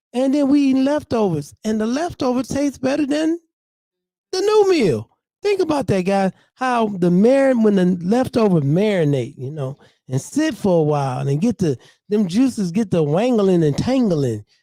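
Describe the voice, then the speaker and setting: This dark, mellow voice moves at a moderate pace with very wide pitch swings, in a dry, close sound with no echo. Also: man, high pitch for a man. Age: 60s. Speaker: community speaker. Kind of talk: open mic talk.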